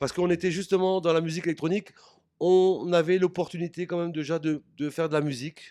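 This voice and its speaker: The fairly high-pitched voice of a man comes through dry and close with no echo, on a very clean recording with a silent background. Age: 60s. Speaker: music producer. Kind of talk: interview. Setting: backstage at an event. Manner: halting.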